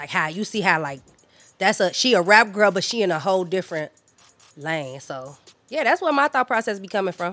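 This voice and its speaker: Music plays in the background while a woman speaks. Her medium-pitched voice swings very widely in pitch. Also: fairly quick pace. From Chicago, West Side. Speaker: rapper. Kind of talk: interview. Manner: casual.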